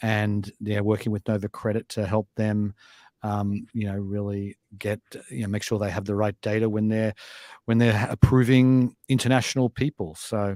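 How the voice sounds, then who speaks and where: In a very clean recording with a silent background and a dry, close sound with no echo, a man with an Australian accent speaks at a moderate pace. His pitch is fairly low, and his intonation fairly even. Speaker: fintech company chairman and show host. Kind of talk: casual news discussion. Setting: studio.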